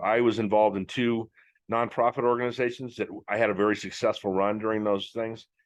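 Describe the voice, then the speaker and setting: Against a quiet background, a man with a plain, everyday voice speaks at a fairly quick pace, fairly low in pitch and fairly even in intonation. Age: 60s. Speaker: podcast host. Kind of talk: casual monologue. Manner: conversational, many fillers.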